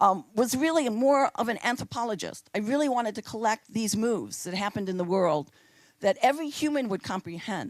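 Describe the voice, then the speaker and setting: A woman's normal speaking voice, fairly high in pitch, with lively intonation at a moderate pace on a very clean recording with a silent background. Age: 60s. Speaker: choreographer. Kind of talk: public talk.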